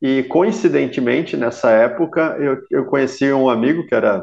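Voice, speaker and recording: Against a quiet background, a man uses an unremarkable speaking voice, fairly high in pitch with lively intonation. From Blumenau, Santa Catarina, southern Brazil. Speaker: ultra-endurance triathlete. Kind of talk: interview conversation.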